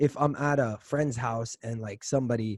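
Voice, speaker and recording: An American accent with fairly even intonation, in a dry, close sound with no echo. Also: man. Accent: American-sounding. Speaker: podcast host, university student. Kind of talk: casual chat.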